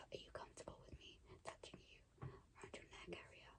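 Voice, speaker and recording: Whispering, a woman speaks at a moderate pace. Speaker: ASMR artist, roleplaying a sleep clinic relaxation therapist. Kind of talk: ASMR roleplay, personal attention. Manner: soft-spoken, whispered, calming.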